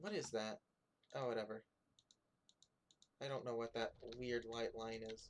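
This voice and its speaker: The speech runs at a moderate pace, broken by long, frequent pauses. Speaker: game developer streamer. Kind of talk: live stream commentary while coding. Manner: soft-spoken; halting.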